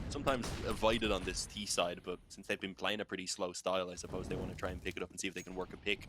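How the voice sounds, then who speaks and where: A man speaks at a very fast pace. His pitch is very deep and low, and his intonation is fairly even. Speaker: esports caster. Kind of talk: live commentary.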